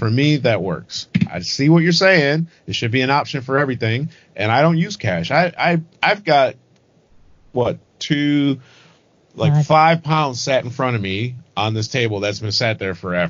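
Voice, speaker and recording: An unremarkable speaking voice, a man talks at a moderate pace and medium pitch with lively intonation. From Michigan, suburban Detroit. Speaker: podcast co-host. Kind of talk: casual chat.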